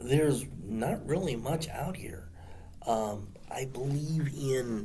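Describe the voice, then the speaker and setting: A somewhat breathy man speaks at a very slow pace with lively intonation, and audible room echo surrounds him. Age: 60s. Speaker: martial arts instructor. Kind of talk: casual monologue to camera. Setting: seated on the ground. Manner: halting, many fillers.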